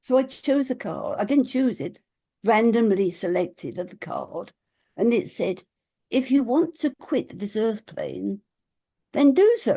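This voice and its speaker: A woman with a fairly high, dark, mellow voice speaks at a fairly slow pace. Her intonation is lively, and vocal fry comes through. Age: 80s+. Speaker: spiritual teacher and author. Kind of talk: casual chat.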